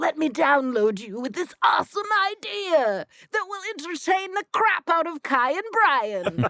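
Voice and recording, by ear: Putting on a character voice, a woman talks at a moderate pace at an extremely high pitch with very wide pitch swings.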